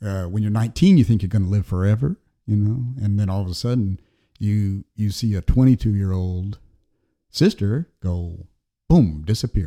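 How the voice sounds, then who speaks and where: Speaking with an American accent, a man uses a fairly low pitch and ordinary pitch variation at a moderate pace. The recording is very clean and silent in the background, with a dry, close sound and no echo. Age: 60s. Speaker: painter and illustrator. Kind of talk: casual chat. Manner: halting, many fillers and repeated words.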